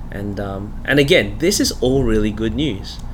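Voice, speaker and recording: A man talks at a fairly slow pace with an Australian accent. Noticeable background noise runs underneath. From Australia, Melbourne. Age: 40s. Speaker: pastor. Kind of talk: interview conversation. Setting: studio.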